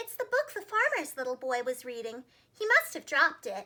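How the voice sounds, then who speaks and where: A woman's squeaky put-on character voice, extremely high in pitch, fairly quick, with very wide pitch swings. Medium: read story. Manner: earnest, self-assured.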